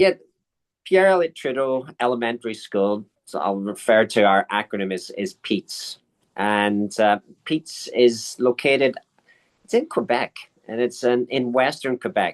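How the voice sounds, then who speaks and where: With a slight Irish accent and lively intonation, a man comes across in a dry, close sound with no echo. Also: medium pitch for a man, fairly slow pace. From Ireland. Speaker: school principal. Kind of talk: interview. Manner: halting, with repetitions.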